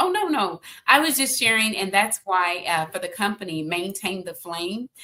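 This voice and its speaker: A woman's normal speaking voice at medium pitch, with lively intonation, a moderate pace and an American accent. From Texas (Austin). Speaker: consultant and author. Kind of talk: podcast interview.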